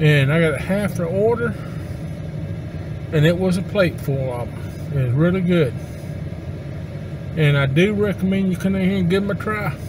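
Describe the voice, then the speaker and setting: There is noticeable background noise behind this man. He speaks at a moderate pace with long, frequent pauses. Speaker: restaurant reviewer. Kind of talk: casual vlog chat. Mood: relaxed, positive. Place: car. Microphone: camera far.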